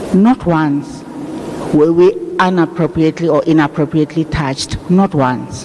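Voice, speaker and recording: Noticeable background noise surrounds a man with a fairly high pitch. He talks at a moderate pace with ordinary pitch variation. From South Africa, raised in exile in Zambia. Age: 60s. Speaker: funeral speaker. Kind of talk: eulogy. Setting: funeral service.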